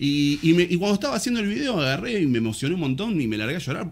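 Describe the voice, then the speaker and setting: Very wide pitch swings and a very fast pace in a Rioplatense accent. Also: man. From Argentina. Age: 30s. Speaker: musician and music teacher; guest. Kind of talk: casual chat; interview answer. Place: studio. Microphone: studio mic.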